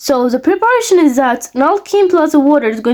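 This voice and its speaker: With a non-native accent, a woman speaks with lively intonation. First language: not English. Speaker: chemistry teacher. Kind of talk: lecture. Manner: halting.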